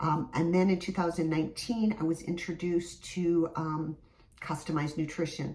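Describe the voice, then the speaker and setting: A woman speaks at a moderate pace with an American accent, her pitch very deep and low. Her tone is dark and mellow, and somewhat breathy. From US Midwest, Michigan. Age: 50s. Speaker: fitness instructor. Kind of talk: casual vlog talk to camera.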